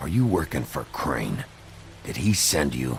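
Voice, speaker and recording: A man puts on a character voice that growls at a very deep, low pitch, swinging very widely in pitch at a moderate pace over clear background noise. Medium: video game. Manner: low, terse.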